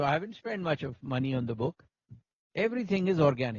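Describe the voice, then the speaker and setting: A man speaks with a Pakistani accent. His pitch sits fairly high. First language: Urdu. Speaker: company CEO and author. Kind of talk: interview at book launch. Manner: halting. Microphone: problem with the mics.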